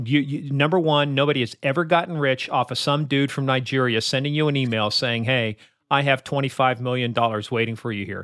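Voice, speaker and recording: A man with a medium pitch and an American accent, a plain, everyday voice, at a fairly quick pace. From Kansas. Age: 60s. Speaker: cybersecurity expert. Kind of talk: interview.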